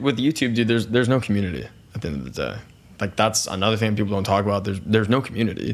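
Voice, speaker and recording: Talking at a very fast pace, a man uses a fairly low pitch with ordinary variation and vocal fry. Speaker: YouTuber and streamer. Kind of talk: podcast interview. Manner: loud.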